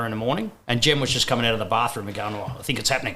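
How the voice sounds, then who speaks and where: A man with an Australian accent speaks at a medium pitch in a bright, sharp tone. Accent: thick Australian. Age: 50s. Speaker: first-time father. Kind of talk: casual chat.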